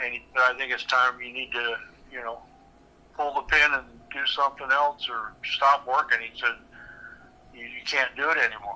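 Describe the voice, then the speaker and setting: Pausing long and often, a man speaks at a moderate pace with fairly even intonation and big swings in loudness. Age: 60s. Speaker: retired welder. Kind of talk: casual chat.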